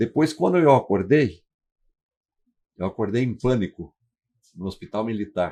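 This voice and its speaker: A man of medium pitch with a dark, mellow tone and lively intonation, at a moderate pace with long, frequent pauses. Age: 80s+. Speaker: retired firefighter. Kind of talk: testimony. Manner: halting.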